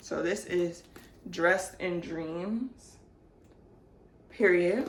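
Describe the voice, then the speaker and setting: Here a woman talks at a medium pitch. Audible room echo surrounds her voice. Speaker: book haul vlogger. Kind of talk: casual chat.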